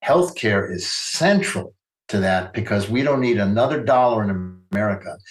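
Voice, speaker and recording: A man talks at a fairly quick pace in a fairly low pitch. His voice is somewhat breathy. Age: 80s+. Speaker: physician and activist author. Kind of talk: interview discussion. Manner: halting, repeats words.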